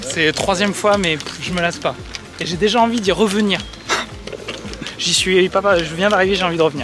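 A man's high-pitched voice at a fairly quick pace with ordinary pitch variation, dry with no echo, over clear music in the background. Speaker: golf vlogger leading a group trip. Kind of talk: casual vlog chat. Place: open country. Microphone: phone near.

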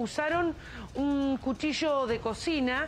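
A woman talks over light background noise. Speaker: field news reporter. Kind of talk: live news report. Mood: serious, measured. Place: street. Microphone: handheld.

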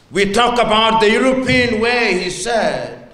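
A man's raised, projected voice at a very slow pace, with ordinary pitch variation and audible room echo. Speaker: guest. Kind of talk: speech. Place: hall. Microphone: handheld.

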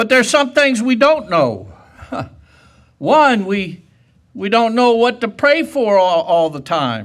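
A man with a high pitch speaks at a very slow pace over a quiet background. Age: 70s. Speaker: preacher. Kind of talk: sermon. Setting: church. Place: church.

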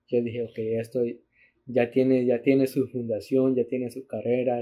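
Flat and monotone in intonation, a man talks at a medium pitch. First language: bilingual Spanish and English (speaking Spanish). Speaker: podcast host. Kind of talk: casual chat. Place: home room.

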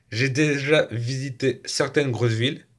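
With quiet surroundings, a male speaker talks very slowly. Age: 20s. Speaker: youtuber; vlogger. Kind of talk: casual vlog monologue. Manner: halting, with repetitions. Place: home room. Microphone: phone near.

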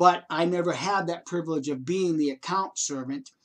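Lively intonation against a quiet background. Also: man. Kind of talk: personal testimony. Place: home room. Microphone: webcam.

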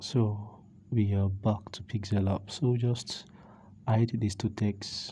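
A man's fairly low voice comes across somewhat breathy, with a dark, mellow tone and monotone, flat intonation. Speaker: graphic design tutor. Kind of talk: screen-recorded software tutorial. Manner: casual, conversational.

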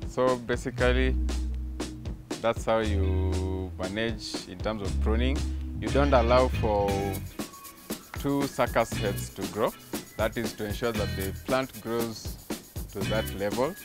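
Over clear music in the background, a man speaks at a very slow pace with long, frequent pauses, the sound dry with no echo. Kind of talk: interview answer. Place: farm machine.

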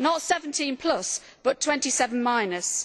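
A woman's high-pitched voice over a quiet background. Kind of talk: parliamentary speech. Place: hall. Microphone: podium.

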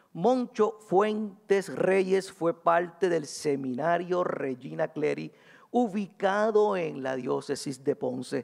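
With a quiet background behind him, a man talks at a very slow pace, his high pitch carried by lively intonation. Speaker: historian, university professor; presenter. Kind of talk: academic conference talk. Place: hall. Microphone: podium.

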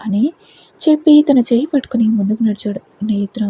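The pitch variation is ordinary. It comes across as a natural reading voice.

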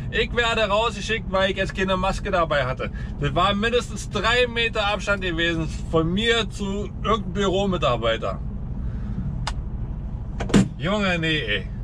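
Noticeable background noise sits behind a man talking at a moderate pace with long, frequent pauses. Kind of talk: casual vlog chat. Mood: annoyed, ranting. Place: car. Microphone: camera far.

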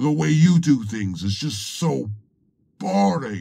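A man drawls through a put-on character voice at a fairly slow pace, his pitch swinging very widely. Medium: machinima. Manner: sarcastic, sneering, drawling.

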